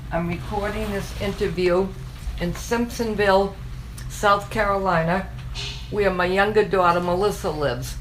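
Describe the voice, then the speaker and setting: With long, frequent pauses, a woman speaks amid noticeable background noise and audible room echo. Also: moderate pace. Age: 70s. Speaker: retired daycare owner and grandmother. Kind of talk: oral history interview. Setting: recorded interview in a home.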